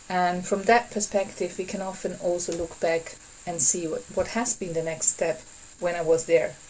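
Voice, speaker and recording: Noticeable background noise sits behind a speaker with a non-native accent talking at a fairly slow pace. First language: not English. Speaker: workshop facilitator. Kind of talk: online workshop talk. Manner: halting.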